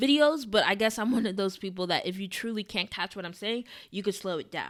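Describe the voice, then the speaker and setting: A woman's fairly high voice with lively intonation, on a very clean recording over a silent background. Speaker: TV commentary YouTuber. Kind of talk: video essay recap. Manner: fast.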